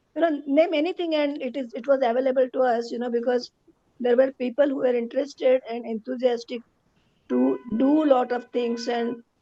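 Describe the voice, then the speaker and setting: A woman speaks at a high pitch with fairly even intonation. Music plays in the background, and the sound is dry and close with no echo. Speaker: radiologist, alumna. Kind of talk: speech. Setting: video call.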